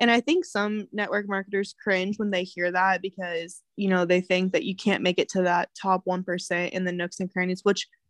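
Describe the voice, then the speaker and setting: A woman speaks in a Midwestern US accent with fairly even intonation. The background is quiet, and the sound is dry and close with no echo. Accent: US Midwest. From Kansas. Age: 20s. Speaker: realtor and network marketer. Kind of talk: casual chat.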